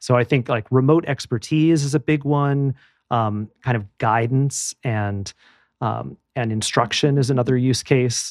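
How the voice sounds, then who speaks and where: A plain, everyday voice from a man with an American accent, medium pitch, fairly even intonation and a fairly slow pace, on a very clean, dry, close recording with a silent background and no echo. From US Midwest, Madison, Wisconsin. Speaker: tech entrepreneur and author. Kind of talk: interview.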